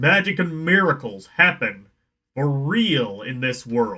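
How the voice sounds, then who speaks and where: A put-on character voice with very wide pitch swings at a fairly slow pace. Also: man. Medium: game stream.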